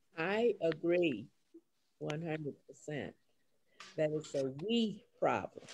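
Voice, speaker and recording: The speaker talks at a very slow pace with an American accent. Long, frequent pauses break up the speech. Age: 80s+. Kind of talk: panel discussion.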